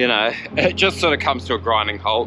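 Music plays in the background of a dry sound with no echo. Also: man. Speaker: cycling vlogger. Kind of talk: casual vlog chat. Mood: relaxed, humorous. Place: bicycle. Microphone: phone near.

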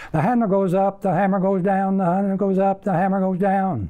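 Against a quiet background, a man talks at a high pitch. His intonation stays monotone and flat. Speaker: auctioneer. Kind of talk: auctioneer tongue-twister warm-up. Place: studio.

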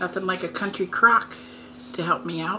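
Her pitch varies in an ordinary way. Behind the woman, noticeable background noise is audible. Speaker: home vlogger. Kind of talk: casual vlog chat, mukbang. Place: home room. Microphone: phone near.

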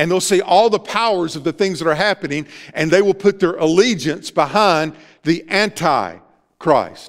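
Against a quiet background, a man with a Southern US accent talks in a high pitch with ordinary pitch variation. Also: moderate pace. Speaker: pastor. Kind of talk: sermon. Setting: church. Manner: earnest, preacherly, exhorting the congregation; informal, interacts with the audience. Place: church.

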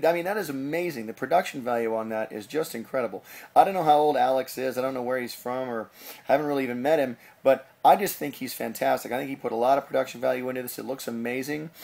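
Very fast, upbeat and enthusiastic speech from a man at medium pitch. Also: ordinary pitch variation. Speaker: animator, show host. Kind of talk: casual talk to camera, show hosting. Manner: upbeat, enthusiastic. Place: home room. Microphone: webcam.

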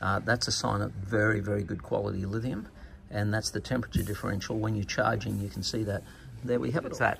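A man with a fairly low pitch and ordinary pitch variation talks at a very fast pace. Light background noise is audible. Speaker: presenter. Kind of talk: product demo commentary. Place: workshop. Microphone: phone near.

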